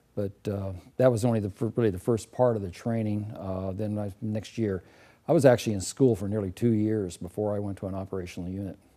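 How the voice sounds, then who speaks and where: A man talks at a very fast pace. His fairly low voice holds a fairly even intonation. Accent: West Coast US. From California, Los Angeles area. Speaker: war veteran, retired fighter crew officer. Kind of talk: oral history interview. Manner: halting, many fillers.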